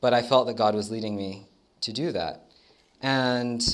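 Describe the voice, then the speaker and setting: A man with an American accent speaks with ordinary pitch variation amid audible room echo. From United States. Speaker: dental student. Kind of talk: testimony. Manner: hesitant, many fillers.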